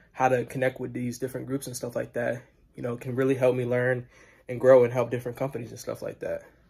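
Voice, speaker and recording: Over a quiet background, a man speaks at medium pitch in a monotone, flat delivery, with a dark, mellow, somewhat breathy tone. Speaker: student. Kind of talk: video self-introduction. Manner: fast; casual. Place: home room. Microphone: phone near.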